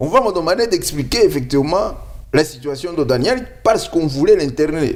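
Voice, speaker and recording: His intonation is lively and his pace moderate. This man's pitch is fairly high. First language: not French (speaking French). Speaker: lawyer. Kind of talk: interview.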